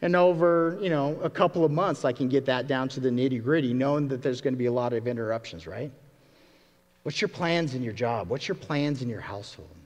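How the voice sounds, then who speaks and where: A man talks at a fairly quick pace with lively intonation. His is a plain, everyday voice at a medium pitch. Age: 40s. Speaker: pastor. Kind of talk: sermon.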